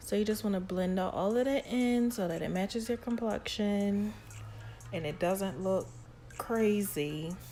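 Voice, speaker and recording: A woman's unremarkable speaking voice, medium in pitch, at a fairly slow pace with ordinary pitch variation. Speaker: beauty YouTuber. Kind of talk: makeup tutorial. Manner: casual, repetitive filler.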